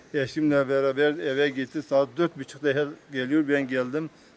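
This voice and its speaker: A man's fairly high, monotone voice with flat intonation at a moderate pace, with noticeable background noise. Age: 60s. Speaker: farmer. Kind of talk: news interview. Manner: halting.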